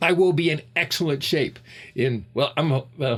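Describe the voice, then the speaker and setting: A man's somewhat breathy voice. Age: 70s. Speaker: martial arts teacher and podcast host. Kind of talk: casual monologue podcast. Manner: rambling, halting with many restarts.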